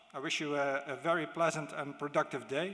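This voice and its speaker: A man with a Dutch accent speaks at a moderate pace and a fairly high pitch, his tone bright and sharp and his intonation fairly even, with audible room echo. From Netherlands. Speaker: diplomat. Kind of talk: conference speech. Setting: stage with audience. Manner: halting.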